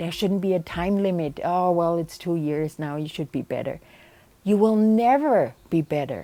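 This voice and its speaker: In a very clean recording with a silent background, a woman with a German accent speaks at a moderate pace and medium pitch, her tone dark and mellow and her intonation lively. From Germany. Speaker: bereaved mother and advocate. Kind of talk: personal testimony interview.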